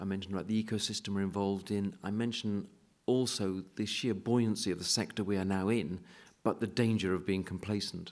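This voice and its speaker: A man's fairly low, monotone voice with flat intonation, fairly quick and with a British accent. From UK. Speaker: university executive and painter; keynote speaker. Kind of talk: keynote lecture. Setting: stage with audience. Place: hall. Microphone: podium.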